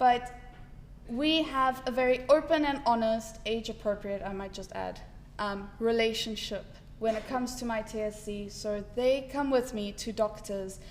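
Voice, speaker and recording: Fairly slow and fairly even in intonation, a woman talks with an unremarkable speaking voice at a fairly high pitch. Her loudness swings widely. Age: 20s. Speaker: patient advocate living with TSC. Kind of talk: personal testimony talk.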